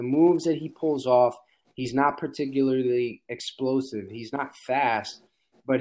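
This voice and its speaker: A man speaks with an American accent in a normal speaking voice. His pitch is medium, his intonation fairly even and his pace moderate. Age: 30s. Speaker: basketball podcaster. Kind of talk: casual chat.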